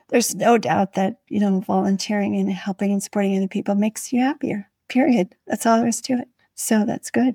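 A woman's somewhat breathy, dark, mellow voice at medium pitch, fairly quick in pace with ordinary pitch variation, dry and close with no echo on a very clean recording with a silent background. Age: 60s. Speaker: podcast host, nurse and legal consultant. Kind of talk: interview chat.

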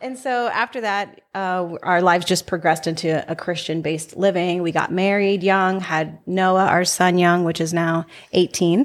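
With an unremarkable speaking voice, a woman talks at a moderate pace and a fairly low pitch, her intonation fairly even. The recording is very clean and the background silent. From Salinas, California. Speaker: entrepreneur. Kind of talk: casual chat.

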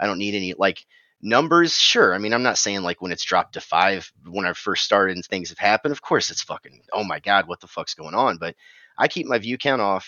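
With a fairly low voice, a man speaks at a fairly quick pace with lively intonation and big swings in loudness. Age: 30s. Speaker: Twitch streamer and musician. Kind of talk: casual chat. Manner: animated.

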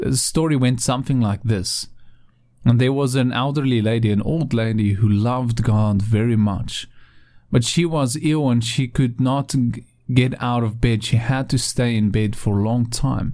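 A man speaks at a moderate pace in a medium pitch, his dark, mellow, warm tone carried with fairly even intonation and very even loudness. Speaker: pastor. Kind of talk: devotional talk with scripture reading and prayer. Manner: warm, earnest, pastoral.

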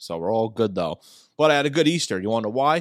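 A man's very fast, lively speech at medium pitch, on a very clean recording with a silent background. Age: 20s. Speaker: sports podcast host. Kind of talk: casual solo podcast talk.

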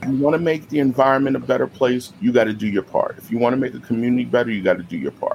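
Someone with an American accent talks at a very fast pace against noticeable background noise. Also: man. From New York City, the Bronx. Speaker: special education teacher. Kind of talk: interview.

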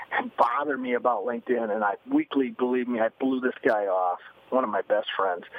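A plain, everyday voice from a man, medium in pitch and at a fairly quick pace. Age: 50s. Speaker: business author and speaker. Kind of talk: interview.

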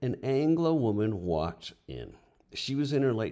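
A man with a dark, mellow tone is heard on a very clean recording with a silent background. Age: 60s. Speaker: retired teacher; podcaster.

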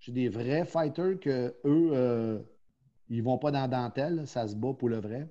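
Speaking very slowly against a quiet background, a man has a Quebec accent. His voice is dark and mellow, medium in pitch, with ordinary pitch variation. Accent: Québécois French. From Quebec, Quebec City. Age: 50s. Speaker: professional boxing coach. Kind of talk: casual interview.

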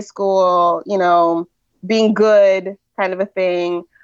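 A woman's monotone, flat delivery in a Californian accent. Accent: Californian American. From California, US (Nigerian immigrant parents). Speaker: writer and mother. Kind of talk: casual interview chat.

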